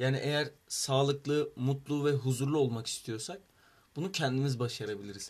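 Somewhat breathy, a man speaks in a fairly high pitch at a moderate pace. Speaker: student club vice president. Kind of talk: casual chat.

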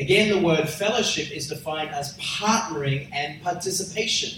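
Speaking at a moderate pace, a man with a fairly high pitch and ordinary pitch variation is heard through noticeable background noise. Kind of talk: sermon, preacher in full flow, teaching the congregation.

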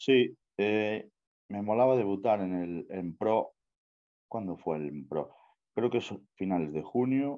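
The speech moves at a very slow pace with long, frequent pauses and lively intonation. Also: man, fairly low pitch for a man. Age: 20s. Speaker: bodybuilder. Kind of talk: interview. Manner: casual.

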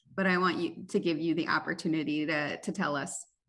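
A fairly bright tone at a fairly quick pace, with fairly even intonation. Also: woman, low pitch for a woman.

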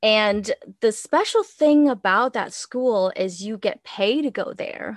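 Over a quiet background, a woman with a Vietnamese accent speaks very slowly in a high pitch with lively intonation. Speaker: podcast co-host and astrologer. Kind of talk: casual chat. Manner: hesitant, many fillers.

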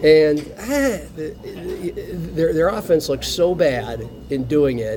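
Noticeable background noise runs under the recording. A man talks at a very slow pace. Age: 40s. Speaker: sports radio host. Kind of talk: casual chat.

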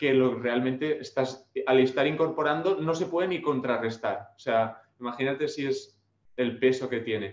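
Speaking at a moderate pace, a man uses a plain, everyday voice at a medium pitch with ordinary pitch variation. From Spain, Alicante (Dénia). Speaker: personal trainer. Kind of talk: interview.

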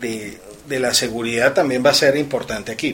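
Noticeable background noise sits behind a man talking. His pitch is medium, with ordinary pitch variation. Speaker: lawyer. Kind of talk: radio talk show.

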